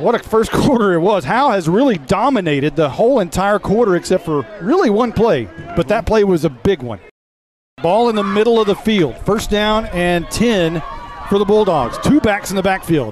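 Music plays in the background as a man talks at a moderate pace. His pitch sits high and his intonation is lively. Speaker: high school football play-by-play announcer. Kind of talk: live sports commentary.

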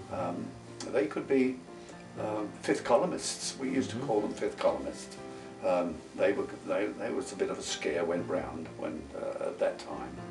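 A man talks at a moderate pace while clear music sounds in the background. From London, England. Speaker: war veteran. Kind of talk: interview answer. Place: home room.

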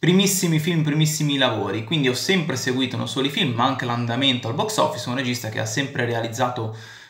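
A man talks at a very fast pace with hardly any pauses. His pitch varies in an ordinary way, and there is audible room echo. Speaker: film commentator vlogger. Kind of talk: commentary. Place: home room. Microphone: phone near.

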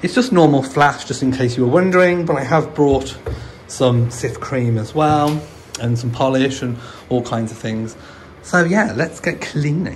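Light background noise behind a man, his pace moderate, his pitch varying normally. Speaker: home renovation vlogger. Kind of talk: casual vlog chat. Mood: jokey, light-hearted. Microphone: phone near.

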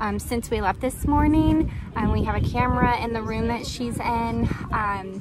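A woman at a moderate pace, dry sound with no echo, loud background noise behind her. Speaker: crochet vendor vlogger. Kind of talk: casual vlog chat. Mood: worried but upbeat, laughing. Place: market. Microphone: phone near.

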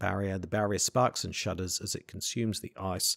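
The voice reads in an unforced manner.

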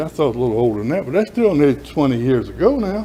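A fairly quick, dark and mellow delivery with lively intonation, in a Southern US accent. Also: man. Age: 70s. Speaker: resident speaking at public hearing. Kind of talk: public comment at council meeting. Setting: city council chamber.

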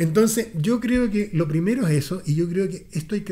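A man with a Chilean accent speaks in a dark, mellow tone. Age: 60s. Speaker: political commentator. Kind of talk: casual chat. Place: meeting room. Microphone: studio mic.

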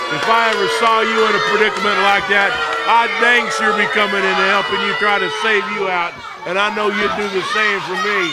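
A man's raised, projected voice, high-pitched and fairly quick, with fairly even intonation over crowd noise in the background. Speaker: wrestling commentator. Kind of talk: live wrestling commentary.

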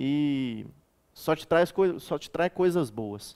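A man speaks at a fairly high pitch with ordinary variation. The background is quiet. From Minas Gerais interior, Brazil (Eugenópolis); Minas Gerais, Brazil. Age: 30s. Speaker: military police cadet; interviewee. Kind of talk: interview; interview answer. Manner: halting. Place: studio. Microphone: headset.

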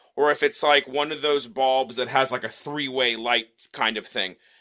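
With a hushed backdrop, a man speaks at a medium speed. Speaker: product reviewer. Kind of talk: casual product demo. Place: home room. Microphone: phone near.

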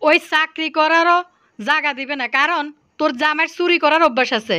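Raising and projecting her voice, a woman with a Bangladeshi accent speaks at a high pitch in a bright, sharp tone with ordinary pitch variation. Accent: regional Bangladeshi dialect. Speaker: YouTube vlogger. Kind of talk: angry rant vlog.

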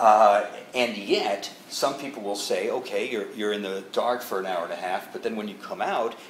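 A man is speaking here. Light background noise and audible room echo surround his voice. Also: moderate pace. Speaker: interviewer. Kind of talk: interview host questions. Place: home room.

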